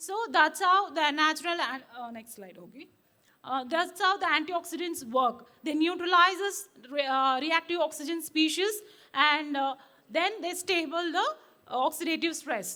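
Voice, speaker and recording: Raised and projected, a woman's extremely high voice has a bright, sharp tone and big swings in loudness. She keeps a moderate pace, with ordinary pitch variation. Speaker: cytogeneticist, conference speaker. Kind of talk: conference talk. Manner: hesitant, many fillers.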